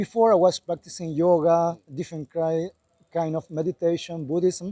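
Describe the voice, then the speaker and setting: A man with a Spanish accent speaks at a moderate pace in a high pitch, his tone dark and mellow and his intonation fairly even, in a dry, close sound with no echo. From Chile. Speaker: Hare Krishna devotee. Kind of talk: street interview.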